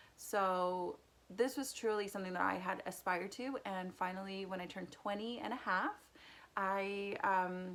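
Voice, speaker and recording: A woman's medium-pitched voice with a Spanish accent, fairly even intonation and a moderate pace. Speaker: youtuber. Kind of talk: casual personal vlog.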